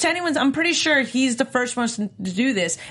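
Her pitch rises and falls very widely. A woman is speaking. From New York. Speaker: aftershow host. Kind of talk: casual panel banter.

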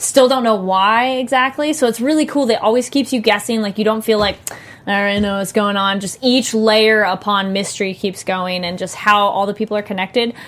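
Over noticeable background noise, a woman with a fairly high voice talks at a fairly quick pace with ordinary pitch variation. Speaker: podcast co-host. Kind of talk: casual chat.

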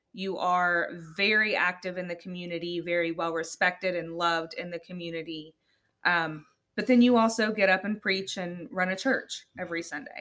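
Her voice is fairly low for a woman, with a bright, sharp tone and fairly even intonation. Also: moderate pace. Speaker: podcast host. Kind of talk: casual interview chat.

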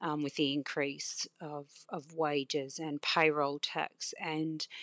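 In an Australian accent, a woman speaks with a very deep, low pitch in a dry, close sound with no echo. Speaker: cafe owner. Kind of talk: interview. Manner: pragmatic-sounding.

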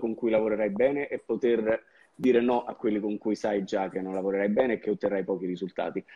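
Fairly even intonation marks a normal speaking voice. It moves at a fairly quick pace. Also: man. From southern Italy, Campania (province of Salerno, Sapri). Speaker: marketing agency owner. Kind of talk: interview.

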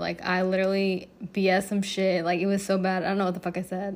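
A woman's voice sits at a medium pitch. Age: 20s. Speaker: podcast host. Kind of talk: casual monologue storytelling. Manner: occasional stutter.

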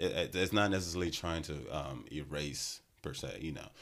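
At a moderate pace, this voice comes through with vocal fry. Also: man. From Nigeria. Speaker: podcast host. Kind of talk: interview. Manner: direct.

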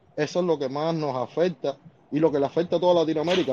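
The man has a fairly high pitch and a dark, mellow tone. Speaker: viewer calling in. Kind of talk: political discussion on a live stream.

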